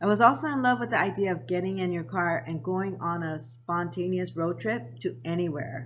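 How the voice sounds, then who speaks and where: A woman with a fairly low pitch sounds somewhat breathy at a moderate pace, with audible room echo. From Japan, US military family, then Hawaii. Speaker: lifestyle vlogger. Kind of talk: personal storytelling vlog.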